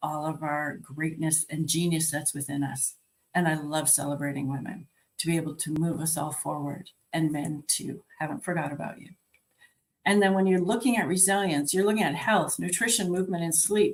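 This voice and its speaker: This woman has a very deep, low voice with ordinary pitch variation. She talks at a moderate pace. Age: 60s. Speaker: life and health coach. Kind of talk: virtual conference talk. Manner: conversational.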